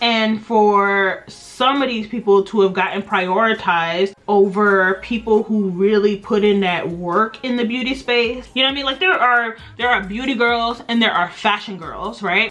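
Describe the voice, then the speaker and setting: Through noticeable background noise, a woman talks at a moderate pace with hardly any pauses, her fairly high pitch showing ordinary variation. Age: 30s. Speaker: beauty vlogger. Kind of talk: casual chat. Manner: chatty.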